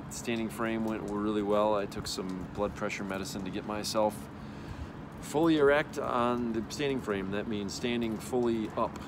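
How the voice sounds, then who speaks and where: A fairly low-pitched male voice amid noticeable background noise and audible room echo. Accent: American. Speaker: spinal cord injury patient. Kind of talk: video diary update. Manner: casual, with fillers.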